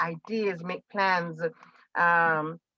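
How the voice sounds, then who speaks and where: A woman's bright, sharp voice with fairly even intonation in a dry, close sound with no echo. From Jamaica. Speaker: teacher, college alumna panelist. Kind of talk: virtual panel discussion. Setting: video call.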